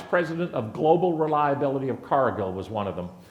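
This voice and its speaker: A man with a fairly high voice speaks amid audible room echo. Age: 60s. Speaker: conference speaker, reliability executive. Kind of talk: conference presentation. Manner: animated.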